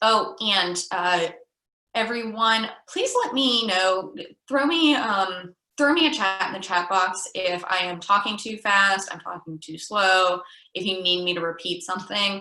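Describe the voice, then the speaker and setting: With a plain, everyday voice, a woman speaks at a medium pitch and a fairly slow pace, with ordinary pitch variation. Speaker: youth program trainer. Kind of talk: online training presentation.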